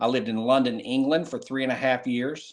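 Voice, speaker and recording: Speaking fairly quickly, a man with an American accent keeps a medium pitch with ordinary pitch variation. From North Carolina. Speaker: former Secret Service agent. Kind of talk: interview.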